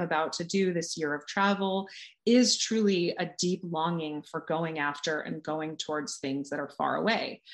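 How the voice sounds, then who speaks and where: Using a normal speaking voice, a woman with an American accent talks at a moderate pace, her fairly low pitch showing ordinary variation. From California. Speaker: author and coach. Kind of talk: casual interview chat.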